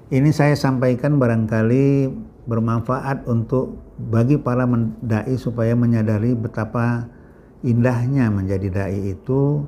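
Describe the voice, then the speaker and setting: Here a man talks at a fairly slow pace in a dark, mellow tone. His pitch is medium, with ordinary variation. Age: 60s. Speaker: Islamic preacher. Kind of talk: religious talk.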